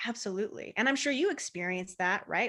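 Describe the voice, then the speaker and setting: A woman talks at a very fast pace with lively intonation. Her tone is animated, bright and sharp. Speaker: marketing and business growth coach. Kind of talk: interview.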